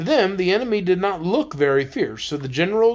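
The voice is reading aloud in a natural voice. Its intonation is lively.

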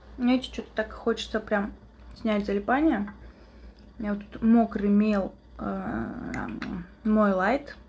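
A woman speaks very slowly at a fairly high pitch, somewhat breathy, with fairly even intonation. Long, frequent pauses and big swings in loudness mark her delivery. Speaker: ASMR streamer. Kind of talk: casual live-stream chat with eating sounds.

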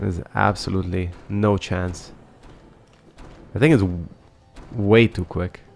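Over music in the background, a man with a very deep, low voice talks fairly slowly and evenly, with long, frequent pauses. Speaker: gaming let's play creator. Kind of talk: casual gameplay commentary. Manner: laid back.

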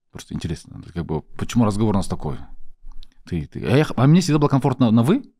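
Against a quiet background, a man with a dark, mellow tone and vocal fry talks at a very fast pace between long, frequent pauses. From Kazakhstan. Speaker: podcast host. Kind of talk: casual interview. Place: studio. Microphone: studio mic.

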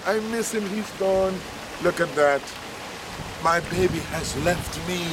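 In a playful tone, a man speaks very slowly at a high pitch over noticeable background noise. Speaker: radio broadcaster and travel vlogger. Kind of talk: casual talk to camera. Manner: playful, affectionate, talking to a turtle. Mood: playful, affectionate. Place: waterside.

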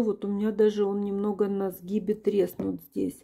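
Against a quiet background, a woman talks at a moderate pace in a dark, mellow tone. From Ukraine. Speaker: perfume reviewer. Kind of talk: product review, video blog. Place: home room.

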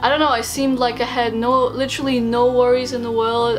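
Fairly quick and high-pitched, a woman speaks with clear music playing in the background. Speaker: vlogger. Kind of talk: casual vlog chat. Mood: nostalgic, reflective. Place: home room. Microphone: camera far.

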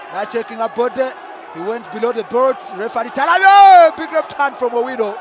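In a Ugandan accent, a man talks at a fairly quick pace with an extremely high pitch. His pitch swings very widely, and noticeable background noise runs underneath. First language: Luganda. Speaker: boxing commentator. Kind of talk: live ringside boxing commentary, rapid blow-by-blow code-switching Luganda and English. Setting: ringside at a live boxing event. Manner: excitable, punctuating punches with shouted hey exclamations; fast, clipped bursts calling each punch as it lands.

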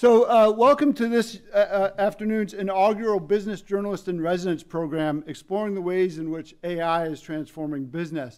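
Over a quiet background, a man speaks at a moderate pace. His pitch is high, with ordinary variation. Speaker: event host. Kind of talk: welcome remarks. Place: hall. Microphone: podium.

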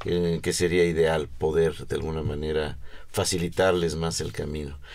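The background is quiet as a man speaks moderately paced in a very deep, low voice with fairly even intonation. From Mexico. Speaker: underwater archaeologist; guest. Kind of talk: interview. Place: studio.

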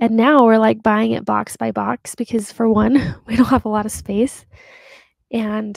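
A woman's fairly slow, fairly even speech, dry with no echo, against a quiet background. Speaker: podcast host. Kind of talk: reflective podcast monologue. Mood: warm, reflective, light laughs. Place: home room. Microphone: studio mic.

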